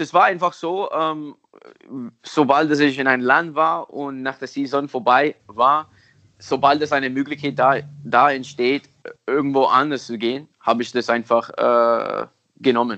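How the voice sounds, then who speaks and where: A man with an English accent, fairly slow pace, fairly even intonation, and long, frequent pauses. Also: fairly high pitch for a man. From US, Miami. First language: English (speaking German). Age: 30s. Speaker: football technique coach. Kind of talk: interview. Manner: halting.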